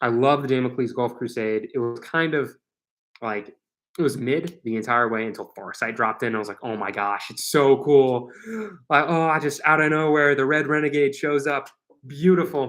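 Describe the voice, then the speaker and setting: A fairly high-pitched man with an American accent and a normal speaking voice, at a moderate pace with ordinary pitch variation. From US Midwest. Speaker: gaming streamer. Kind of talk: casual chat. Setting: live stream. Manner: casual with many fillers.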